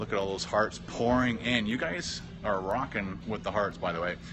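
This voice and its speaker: A man's voice, fairly low in pitch, at a moderate pace with ordinary pitch variation over noticeable background noise. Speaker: vlogger live streaming. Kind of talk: casual live stream chat reading comments. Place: hall. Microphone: phone near.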